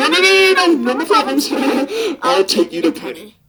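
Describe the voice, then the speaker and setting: A put-on character voice with a high pitch moves along at a moderate pace. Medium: dub. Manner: sarcastic, exasperated.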